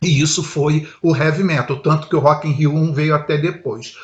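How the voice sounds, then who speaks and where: A man is speaking. His pace is moderate. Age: 60s. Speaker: heavy metal musician. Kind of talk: casual talk to camera. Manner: animated.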